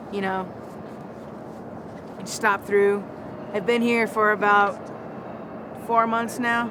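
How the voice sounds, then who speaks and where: A woman speaks at a fairly high pitch and a very slow pace, with monotone, flat intonation and long, frequent pauses. Audible room echo and noticeable background noise fill the recording. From North Dakota, Lakota Sioux reservation. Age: 20s. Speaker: interviewee. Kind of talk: street interview.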